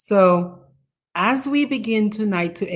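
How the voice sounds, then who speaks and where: A woman speaks at a very slow pace. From Dominica. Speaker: talk show host. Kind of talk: interview introduction.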